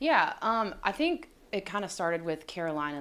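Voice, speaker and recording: A woman speaks at a moderate pace with a bright, sharp tone. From Florida, near Tampa. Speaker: NFL team reporter, former college athlete. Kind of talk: sports analysis discussion. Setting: studio. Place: studio. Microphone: studio mic.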